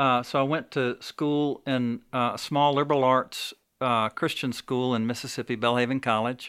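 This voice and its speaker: In a very clean recording with a silent background, a man with a Southern US accent talks in a monotone, flat intonation. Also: medium pitch for a man, moderate pace. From Alabama, Birmingham. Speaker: coffee shop owner. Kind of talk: interview testimony. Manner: halting.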